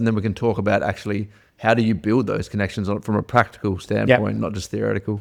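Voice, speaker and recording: A normal speaking voice from a man, fairly low in pitch, with fairly even intonation and a fairly quick pace. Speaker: podcast host. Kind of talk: podcast interview questions.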